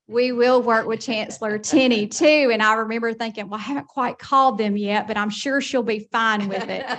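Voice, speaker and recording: Fairly high-pitched woman's voice in a Southern US accent, fairly even in intonation, with hardly any pauses and noticeable background noise. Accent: slow Southern. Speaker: college system administrator. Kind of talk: speech at a board meeting. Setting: meeting room with audience.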